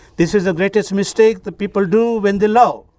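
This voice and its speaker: Using a high pitch, a man talks at a fairly slow pace. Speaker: wedding officiant. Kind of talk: wedding ceremony address. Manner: formal.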